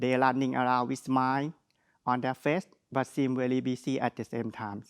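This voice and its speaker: A man with a strong Thai accent at a medium pitch and moderate pace, dry and close with no echo, in a very clean recording with a silent background. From Thailand. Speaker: graduate student speaker. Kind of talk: ceremonial speech.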